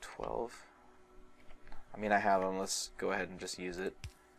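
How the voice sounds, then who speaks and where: A man with long, frequent pauses over music in the background. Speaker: gaming let's play host. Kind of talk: casual gameplay commentary.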